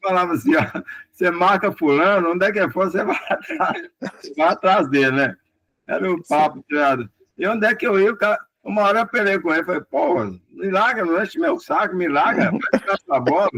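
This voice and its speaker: A high-pitched man's voice at a fairly quick pace, with lively intonation. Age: 70s. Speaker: retired footballer. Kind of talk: interview.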